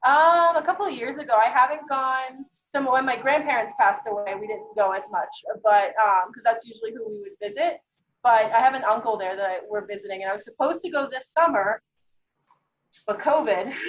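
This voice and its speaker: A woman's high voice with very wide pitch swings, a fairly quick pace and big swings in loudness. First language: Greek. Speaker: guest chef. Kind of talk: cooking class chat.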